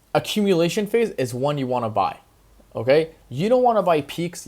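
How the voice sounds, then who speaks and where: Lively intonation marks a man's speech at a fairly quick pace. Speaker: crypto YouTuber. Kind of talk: investment advice commentary. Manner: fast.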